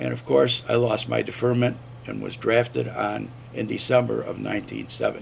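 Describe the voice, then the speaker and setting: A man talks with an American accent at a moderate pace. Noticeable background noise sits behind him. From upstate New York. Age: 70s. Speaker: army veteran and former radio host. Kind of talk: oral history interview. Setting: recorded interview at a veterans center.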